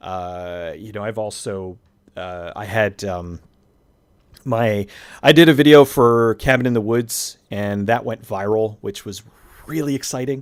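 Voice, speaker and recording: A man speaks at a fairly slow pace in a fairly low pitch, on a very clean recording with a silent background. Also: ordinary pitch variation. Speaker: YouTube movie reviewer. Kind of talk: casual interview chat. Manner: natural conversational, not radio voice; hesitant, many fillers.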